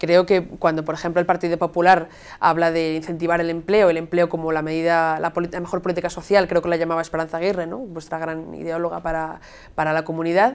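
Words come out at a very fast clip in a flat, monotone delivery. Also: woman, fairly low pitch for a woman. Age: 20s. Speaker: youth party leader, student. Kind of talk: political debate. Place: studio. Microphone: lapel.

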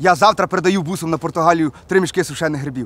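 A man's bright, sharp, high-pitched voice with ordinary pitch variation, in a dry sound with no echo. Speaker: comic character. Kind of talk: acted comedy dialogue, phone call. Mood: exasperated, swearing, boastful. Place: forest.

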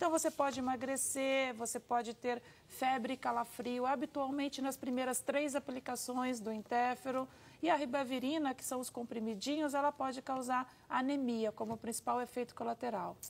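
At a moderate pace, a woman speaks in a high voice with fairly even intonation. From Brazil. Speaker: hepatologist. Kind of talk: TV interview, answering medical questions. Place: studio. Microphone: lapel.

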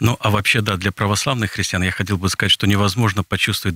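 Recorded dry with no echo and a quiet background, a man with a fairly low pitch has a bright, sharp tone. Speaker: Orthodox priest. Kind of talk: radio interview. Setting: studio. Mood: calm, friendly. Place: studio. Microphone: studio mic.

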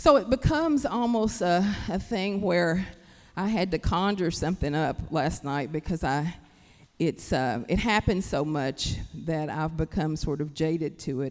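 With lively intonation, a woman talks at a fairly slow pace and a fairly low pitch against a quiet background. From Kentucky, Appalachia. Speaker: writer. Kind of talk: panel discussion talk. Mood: earnest, passionate. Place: stage. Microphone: handheld.

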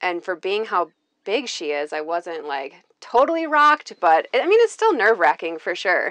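With an American accent, a woman talks at a moderate pace in a normal speaking voice, her intonation lively against a quiet background. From Minnesota. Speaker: tiny house owner giving a tour. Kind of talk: home tour, casual chat. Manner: casual, with frequent fillers. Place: home room. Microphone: lapel.

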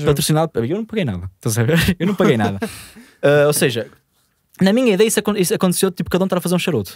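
In a northern Portuguese accent, a man talks at a very fast pace but with long, frequent pauses, his high pitch making very wide swings. The sound is dry with no echo against a quiet background. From northern Portugal. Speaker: podcast host telling a story. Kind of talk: casual storytelling in podcast conversation. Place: studio. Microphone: studio mic.

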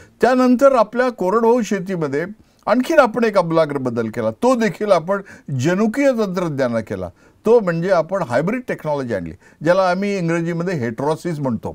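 His pitch sits high for a man and swings very widely. The man speaks over a quiet background. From India, Vidarbha (Buldhana district, Maharashtra); Maharashtra, India. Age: 70s. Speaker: agricultural scientist; interviewee. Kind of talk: interview. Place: studio. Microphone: lapel.

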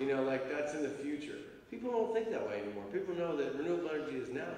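A man speaks with lively intonation in a room with strong echo and light background noise. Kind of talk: Q&A answer. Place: hall. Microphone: handheld.

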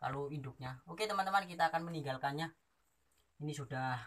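The man's tone is bright and sharp. He speaks at a fairly quick pace. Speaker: wildlife vlogger. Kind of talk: casual vlog chat. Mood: calm, gentle. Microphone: phone near.

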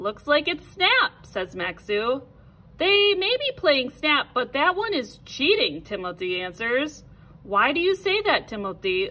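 With an American accent, a woman speaks fairly slowly in a high voice that swings very widely in pitch. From American Midwest. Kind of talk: children's read-aloud.

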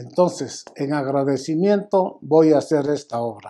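At a very slow pace, a man with a fairly high pitch speaks in a dark, mellow tone with ordinary pitch variation. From Mexico. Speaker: businessman and donor. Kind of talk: public statement. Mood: grateful, emotional about late son. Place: office. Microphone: lapel.

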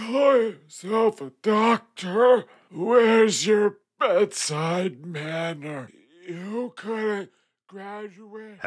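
At a very slow pace, a man speaks with a high pitch and big swings in loudness. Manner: miserable and pleading, then angry.

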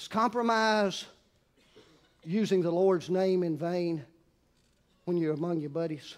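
Speaking with a Southern US accent, a man with a high pitch uses ordinary pitch variation and leaves long, frequent pauses. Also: fairly slow pace. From US South. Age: 60s. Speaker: pastor. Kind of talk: sermon. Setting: church. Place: church.

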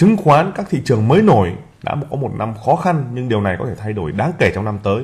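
A man talks with very wide swings in pitch. His voice is somewhat breathy. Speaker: investment channel host. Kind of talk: presentation. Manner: frequent filler pauses.

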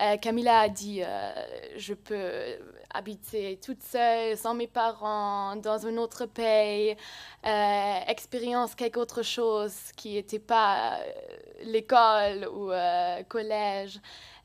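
The speech is very slow, with long, frequent pauses and monotone, flat intonation. The background is quiet. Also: woman, fairly high pitch for a woman. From Germany. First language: German (speaking French). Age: young. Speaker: volunteer; speaker. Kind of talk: testimony. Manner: halting. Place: hall. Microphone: podium.

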